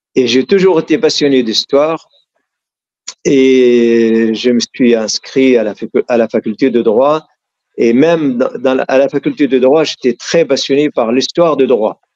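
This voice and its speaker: A man with an Arabic accent at medium pitch, fairly slow, with ordinary pitch variation and very even loudness, dry and close with no echo. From Syria, south of Damascus. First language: Arabic (speaking French). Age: 60s. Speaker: author and activist. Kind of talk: interview. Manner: halting, with frequent repetitions.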